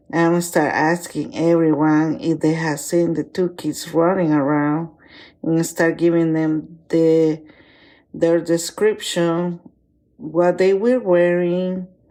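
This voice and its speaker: A woman speaks very slowly with a non-native accent, fairly low in pitch and dark, mellow in tone. Her pitch varies in an ordinary way, and the recording is very clean with a silent background. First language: not English. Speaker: listener sharing a personal story. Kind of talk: personal story recording.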